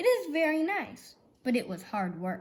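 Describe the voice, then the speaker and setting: A woman puts on a character voice and speaks at a moderate pace. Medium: read story.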